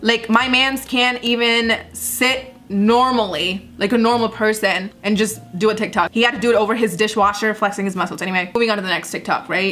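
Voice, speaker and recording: Over music in the background, a woman with a fairly high pitch speaks at a fairly quick pace. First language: not English. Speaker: YouTuber, commentary comedian. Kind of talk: reaction commentary. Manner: animated.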